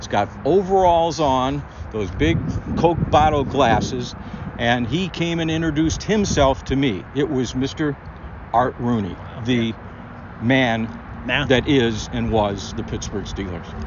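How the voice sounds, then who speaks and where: Lively intonation in an American accent, at a fairly slow pace with long, frequent pauses, over noticeable background noise. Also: man, medium pitch for a man. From Cleveland, Ohio. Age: 60s. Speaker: podcast host, former sports reporter. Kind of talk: casual interview chat.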